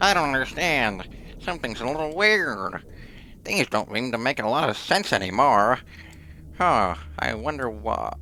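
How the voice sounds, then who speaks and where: A man puts on a squeaky character voice at medium pitch, swinging very widely up and down at a moderate pace with long, frequent pauses over clear background noise. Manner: confused, puzzled.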